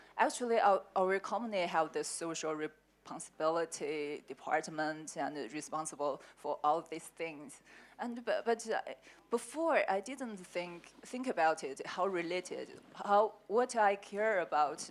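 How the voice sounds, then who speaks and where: A woman with a Chinese accent and a medium pitch speaks at a fairly slow pace with lively intonation. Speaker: sales manager at herbal medicine company. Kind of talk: panel discussion. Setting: conference panel. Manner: halting.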